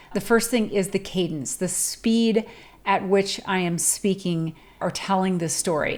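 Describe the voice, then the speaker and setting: A woman with a plain, everyday voice, medium pitch and ordinary pitch variation, at a fairly slow pace. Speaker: public speaking coach. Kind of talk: tutorial.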